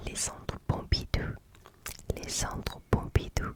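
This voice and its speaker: A woman whispers very slowly. Behind her, background noise is noticeable. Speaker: ASMR content creator. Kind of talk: ASMR trigger words, repeated place names.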